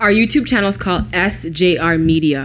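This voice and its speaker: Ordinary pitch variation runs through the speech while noticeable background noise carries on. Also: woman. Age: 20s. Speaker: podcast co-host. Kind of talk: casual chat.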